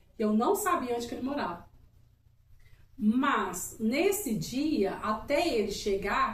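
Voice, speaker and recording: An animated, high-pitched woman's voice with audible room echo. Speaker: couple channel co-host. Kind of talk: casual chat.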